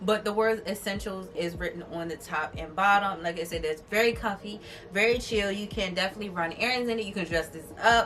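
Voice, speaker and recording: With music in the background, a woman at a medium pitch talks at a fairly quick pace with ordinary pitch variation and hardly any pauses. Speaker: beauty and fashion vlogger. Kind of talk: try-on haul vlog. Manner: loud; animated.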